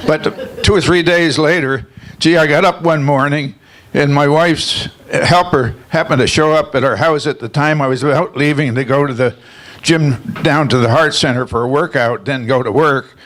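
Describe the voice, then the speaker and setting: At a moderate pace, a man with an American accent and a fairly high pitch talks with ordinary pitch variation over noticeable background noise. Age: 90s. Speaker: award honoree. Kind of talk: acceptance speech. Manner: halting.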